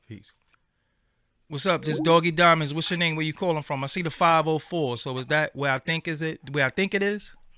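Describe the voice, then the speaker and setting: Fairly high-pitched and bright, sharp in tone, a man talks at a fairly quick pace with a New York accent. His pitch varies in an ordinary way, and the sound is dry and close with no echo. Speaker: podcast host. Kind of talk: call-in show.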